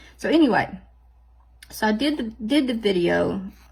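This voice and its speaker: A woman with a Southern US accent sounds animated, with vocal fry in her voice. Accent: Southern drawl. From US South. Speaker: nail art vlogger. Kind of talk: casual chat tutorial. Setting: home office. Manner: animated, chatty.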